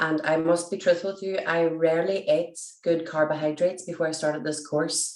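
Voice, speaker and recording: A woman with a Derry accent, fairly low in pitch, fairly quick, in monotone, flat intonation. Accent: Northern Irish (Derry). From Northern Ireland, Derry. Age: 40s. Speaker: teacher and nutrition client. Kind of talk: testimonial interview.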